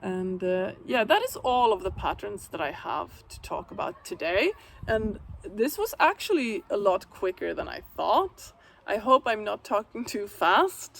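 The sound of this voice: A woman speaks at a medium pitch with vocal fry and big pitch swings. Her pace is fairly slow, with few pauses.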